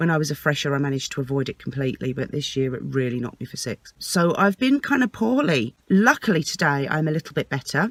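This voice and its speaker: A woman talks at a very fast pace with hardly any pauses, in an English accent and a very deep, low pitch. Her intonation is lively, and the sound is dry and close with no echo. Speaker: vlogger and singer. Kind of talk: vlog. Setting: parked outside a house, early morning.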